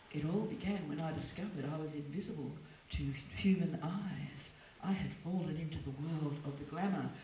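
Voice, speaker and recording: A woman speaks at a moderate pace in a very deep, low pitch with fairly even intonation, noticeable background noise behind her. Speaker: performance poet. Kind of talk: performance poetry slam.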